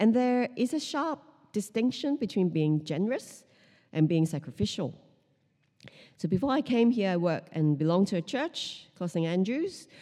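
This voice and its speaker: A dark, mellow tone with very wide pitch swings moves at a moderate pace in a very clean recording with a silent background. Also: woman, medium pitch for a woman. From Hong Kong. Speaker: pastor. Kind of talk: sermon. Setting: church.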